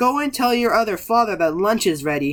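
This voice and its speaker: Putting on a character voice, a man speaks high and fairly quickly, with very wide pitch swings. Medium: read story. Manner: sweet, controlling.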